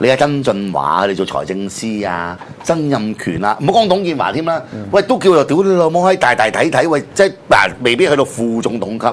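This man's medium-pitched voice swings very widely in pitch as he speaks at a moderate pace. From Hong Kong. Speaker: political commentary host. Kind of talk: casual political talk show. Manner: animated, frequent swearing outbursts. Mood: heated, swearing, sarcastic. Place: studio.

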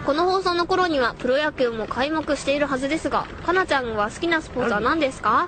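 A woman's high-pitched voice against noticeable background noise. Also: lively intonation. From Tokyo. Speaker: voice actor. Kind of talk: radio show listener mail reading. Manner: giggly, loose.

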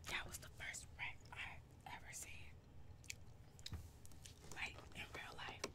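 Whispering and soft-spoken, a woman speaks at a very slow pace. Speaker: vlogger. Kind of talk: casual storytelling vlog. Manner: soft whispered close-mic talk. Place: home room. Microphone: webcam.

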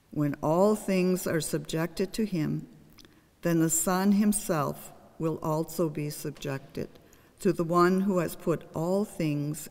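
A woman's fairly low voice at a very slow pace. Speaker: lector reading scripture. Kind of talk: scripture reading aloud, lector. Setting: church. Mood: calm, solemn. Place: church.

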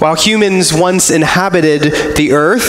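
Room echo and light background noise are audible as a man speaks at a moderate pace. His pitch is high, with ordinary variation. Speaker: preacher. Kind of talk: sermon. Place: church. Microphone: camera far.

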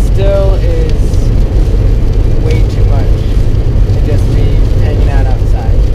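A man over loud background noise, his voice dry and free of echo. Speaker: climbing vlogger. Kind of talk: casual vlog chat. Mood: relaxed, cheerful. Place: car. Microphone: phone near.

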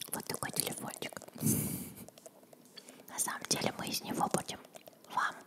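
A woman whispers at a moderate pace. Her speech has long, frequent pauses. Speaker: ASMR video creator. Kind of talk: casual talk to camera. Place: home room. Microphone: studio mic.

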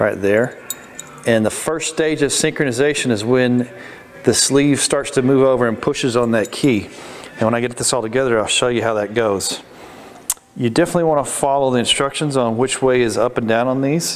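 Over light background noise, a man talks at a fairly quick pace with very even loudness and ordinary pitch variation. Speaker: transmission instructor. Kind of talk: tutorial. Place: workshop. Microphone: phone near.

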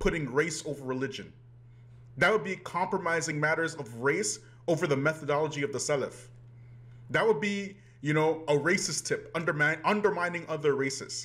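A man speaks at a moderate pace with ordinary pitch variation, leaving long, frequent pauses. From Canada. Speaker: YouTube commentator. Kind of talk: video commentary. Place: home room. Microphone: webcam.

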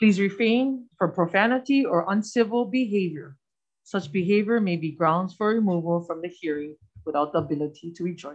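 A woman talks at a fairly quick pace. Her intonation is lively, and the background is quiet. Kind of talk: reading procedural rules at a hearing. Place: meeting room. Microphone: podium.

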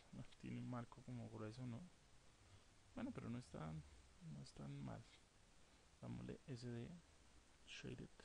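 A man with a very deep, low, dark and mellow voice speaks somewhat breathily, with very wide pitch swings. He talks at a fairly slow pace, with long, frequent pauses. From South America. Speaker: architecture software instructor. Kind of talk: tutorial. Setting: screen recording with microphone. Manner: halting, with frequent word repetitions.

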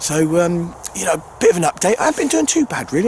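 A man with a high pitch, in dry sound with no echo, over light background noise. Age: 50s. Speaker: angling video maker. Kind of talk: casual vlog narration. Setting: outdoors. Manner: hesitant, filler-heavy. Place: open country. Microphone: phone near.

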